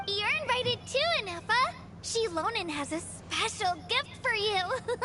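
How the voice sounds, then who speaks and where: A put-on character voice speaks at a moderate pace over loud background music. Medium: video game. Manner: bombastic.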